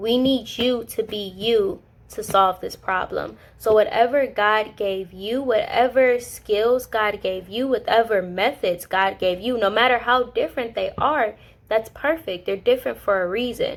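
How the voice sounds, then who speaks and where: Background silent and recording very clean, a woman speaks at a fairly slow pace. Her pitch is fairly high, with ordinary variation. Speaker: Bible study vlogger. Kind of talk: casual Bible teaching. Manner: animated.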